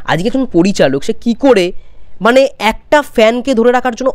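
The background is quiet. A man with a high pitch speaks with lively intonation. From West Bengal, India. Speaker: YouTuber film commentator. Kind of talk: opinion vlog. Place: home room. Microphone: lapel.

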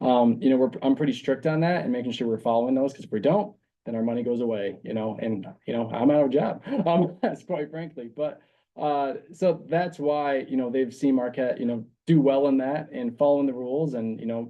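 Fairly quick speech from a man at a medium pitch with ordinary pitch variation. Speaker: community corrections program coordinator. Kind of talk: public meeting presentation. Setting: county board meeting. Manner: fast; animated.

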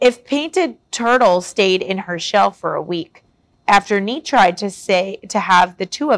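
A natural reading voice with lively intonation comes through while the background stays quiet.

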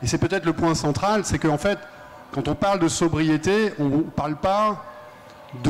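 Ordinary pitch variation accompanies a man talking at a fairly quick pace. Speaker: energy think-tank director and author; panelist. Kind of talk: panel debate. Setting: stage with audience at a festival. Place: stage. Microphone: handheld.

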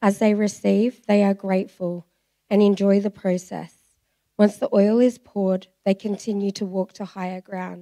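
With an Australian accent, a woman speaks in a dark, mellow, monotone voice with flat intonation at a moderate pace against a quiet background. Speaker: church member giving testimony; speaker. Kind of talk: reading aloud a prophetic message; testimony. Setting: church. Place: church. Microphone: handheld.

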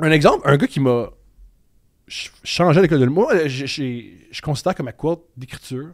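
With ordinary pitch variation and a moderate pace, a man talks while the background stays quiet. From Quebec, Montreal. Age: 30s. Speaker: comedian. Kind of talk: casual chat. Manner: loud, intense. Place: studio. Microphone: studio mic.

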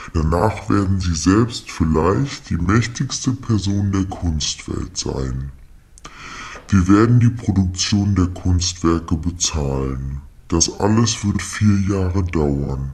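A man speaks at a fairly slow pace in a very deep, low pitch. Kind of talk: formal official German speech. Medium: comedy sketch. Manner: polite, businesslike, matter-of-fact about no payment.

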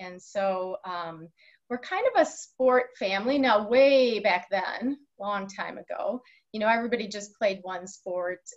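A woman speaks at a fairly slow pace with big swings in loudness and ordinary pitch variation. The background is quiet. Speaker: guest. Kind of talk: interview answer. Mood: warm, cheerful, laughing. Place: office. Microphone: video call.

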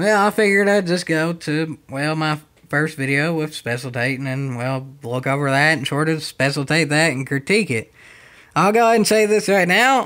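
A man with a Southern US accent speaks at a moderate pace in a fairly high pitch. His tone is bright and sharp, and his intonation is lively. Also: very clean recording, silent background. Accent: puts on a country accent for videos. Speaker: YouTuber doing commentary on his own old video. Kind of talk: casual commentary.

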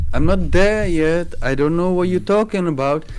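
A man speaks with a non-native accent at a fairly slow pace. His tone is slightly mellow and his intonation lively.

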